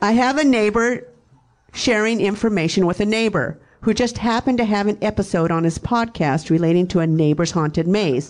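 At a fairly quick pace, a woman talks in a plain, everyday voice with very even loudness. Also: medium pitch for a woman, lively intonation. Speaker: fan, mother. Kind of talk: heated argument, reading texts aloud. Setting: stage with audience.

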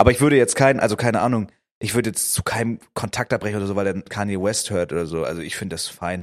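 This man's pitch is fairly low and varies in an ordinary way. His speech moves very fast. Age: 20s. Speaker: podcast co-host. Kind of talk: casual chat.

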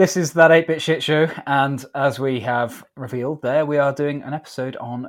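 A man speaks in a plain, everyday voice at a fairly high pitch with ordinary pitch variation. His pace is moderate, on a very clean recording with a silent background. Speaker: podcast co-host. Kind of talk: casual chat, game history.

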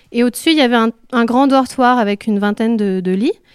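A woman's fairly high voice with ordinary pitch variation is captured in a very clean recording with a silent background and a dry, close sound with no echo. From France, Vercors (Isère). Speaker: artist and co-founder of a shared venue. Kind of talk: guided tour. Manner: halting.

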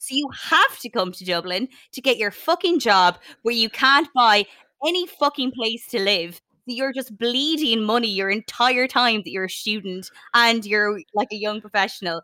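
A woman with a northwestern Irish accent speaks at a moderate pace and a fairly high pitch, her tone bright and sharp and her intonation lively. The recording is very clean and dry, with a silent background and a close sound with no echo. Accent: Irish (north-west). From Ireland, County Sligo. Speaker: podcast host. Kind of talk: casual chat.

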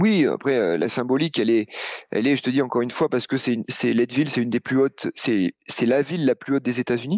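Pitch variation is ordinary and loudness is very even. The pace is very fast. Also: man, medium pitch for a man. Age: 40s. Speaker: running coach. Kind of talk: casual chat.

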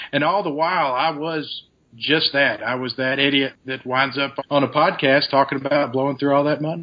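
A man with an unremarkable speaking voice talks at a fairly high pitch. His pace is moderate and his intonation fairly even. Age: 30s. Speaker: fitness coach, recovering addict. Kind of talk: interview.

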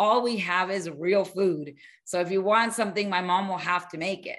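A woman with an American accent speaks in an unremarkable speaking voice at medium pitch. Her pace is moderate and her intonation fairly even. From US, Miami; Colombian family. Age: 50s. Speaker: weight-loss coach. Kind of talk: interview.

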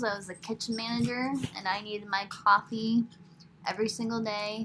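A woman talks at a moderate pace with a fairly high pitch. Her tone is bright and sharp, and her intonation fairly even. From New York. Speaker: farmer and podcast host. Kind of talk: casual chat. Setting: home recording by laptop. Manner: soft-spoken.

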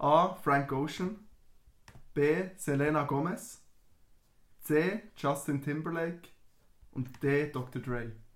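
At a very slow pace with long, frequent pauses, a man speaks in a fairly high pitch with ordinary pitch variation. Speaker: podcast host. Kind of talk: casual chat.

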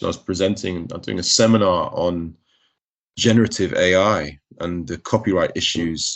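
Very deep and low, a man's voice with a London accent moves at a moderate pace with ordinary pitch variation. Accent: southern English, educated London. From North London. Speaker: entertainment lawyer and rapper. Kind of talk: interview.

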